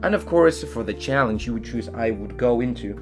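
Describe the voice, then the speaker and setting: Over music in the background, a man with a Chilean accent speaks at a fairly low pitch with very wide pitch swings. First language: Spanish. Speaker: science fiction author. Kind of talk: casual talk to camera. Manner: hesitant, filler-heavy.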